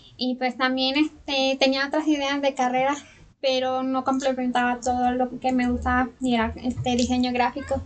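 A woman's high-pitched voice, monotone and flat in intonation, at a moderate pace with very even loudness. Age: 20s. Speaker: journalist with a hearing impairment. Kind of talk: interview.

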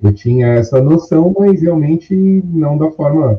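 A man's somewhat breathy, fairly high voice at a moderate pace, with very wide pitch swings. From Brazil, São Paulo city. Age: 30s. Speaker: course student sharing experience. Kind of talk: interview.

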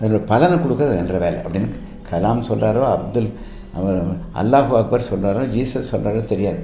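There is audible room echo and noticeable background noise as a man speaks at a fairly low pitch with ordinary pitch variation. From Tamil Nadu, Coimbatore area (Annur village). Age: 80s+. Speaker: surgeon and hospital founder. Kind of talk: radio interview.

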